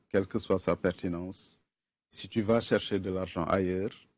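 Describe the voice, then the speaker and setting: A man speaks in a Senegalese accent at a very slow pace, his pitch very deep and low. The background is quiet. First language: Wolof (speaking French). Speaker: film fund official. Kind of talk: TV interview.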